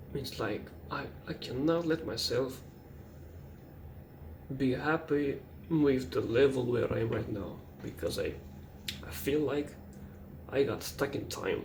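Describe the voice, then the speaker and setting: A man with a non-native accent speaks at a fairly slow pace with a fairly high pitch, ordinary pitch variation and long, frequent pauses. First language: not English. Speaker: artist. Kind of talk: late-night personal monologue. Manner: hesitant, halting.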